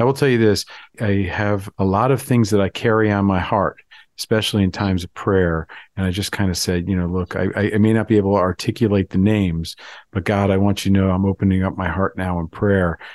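With an American accent, a man has an unremarkable speaking voice, fairly low in pitch, moving at a fairly quick pace with fairly even intonation in a dry, close sound with no echo. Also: quiet background. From Florida. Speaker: rabbi. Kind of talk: podcast interview conversation.

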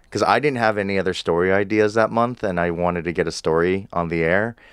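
A man's fairly low-pitched, unremarkable speaking voice at a fairly quick pace, with ordinary pitch variation and a General American accent. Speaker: podcast host and producer. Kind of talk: casual interview chat.

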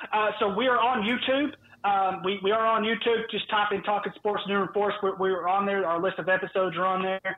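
A man with a Southern US accent speaks at a fairly quick pace in a high pitch, with fairly even intonation and very even loudness. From US South. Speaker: sports podcast host, guest. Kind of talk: casual chat. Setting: phone call.

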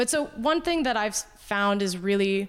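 This woman talks at a fairly slow pace in an ordinary speaking voice, medium in pitch, on a very clean recording with a silent background. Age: 30s. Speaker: hobbyist skater and improv comedian. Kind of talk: casual chat.

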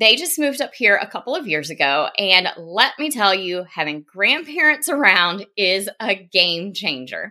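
With a strong Southern US accent, a woman speaks at medium pitch in a bright, sharp tone with very wide pitch swings, recorded very cleanly against a silent background. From US South, South Carolina. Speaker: podcast host, business coach, former teacher. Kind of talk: solo podcast monologue.

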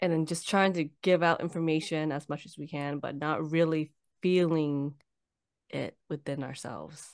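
Over a quiet background, a woman speaks with a very deep, low pitch. Her intonation is fairly even, while her loudness swings widely. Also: moderate pace. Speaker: podcast host. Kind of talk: interview. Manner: halting, stumbles over words.

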